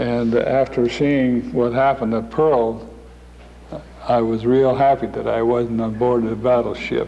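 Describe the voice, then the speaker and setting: Over noticeable background noise, a man speaks fairly slowly at a medium pitch in a monotone, flat intonation. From Norway, raised in Tacoma, Washington. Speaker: war veteran. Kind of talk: interview. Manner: halting.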